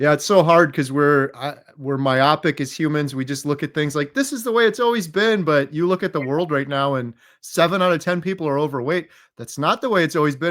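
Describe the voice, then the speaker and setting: A man with an ordinary speaking voice talks at a fairly quick pace, fairly high in pitch with ordinary pitch variation. The recording is very clean, with a silent background. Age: 40s. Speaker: interviewee sharing health recovery story. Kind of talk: interview.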